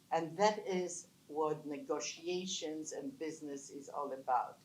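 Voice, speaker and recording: A woman with a non-native accent speaks at a very slow pace, with audible room echo around her. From Poland. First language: not English. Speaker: business founder, panelist. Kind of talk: panel talk. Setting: conference panel with audience.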